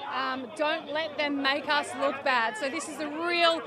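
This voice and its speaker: Over crowd noise in the background, a woman with a high pitch speaks at a fairly slow pace with ordinary pitch variation, the sound dry with no echo. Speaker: field reporter. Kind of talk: live field report. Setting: outdoors at a street protest. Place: street.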